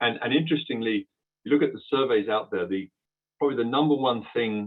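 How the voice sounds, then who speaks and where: A man is speaking. He has a British accent. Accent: British accent, noticeable to US listeners. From UK. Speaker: transport software company executive. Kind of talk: webinar presentation. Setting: online webinar. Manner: hesitant, many fillers and repeats.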